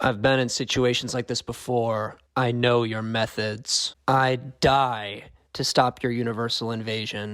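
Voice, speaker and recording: A man performs a put-on character voice at a medium pitch with monotone, flat intonation. He barely pauses, and the recording is very clean with a silent background. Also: moderate pace. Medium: audio drama. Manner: determined, defiant.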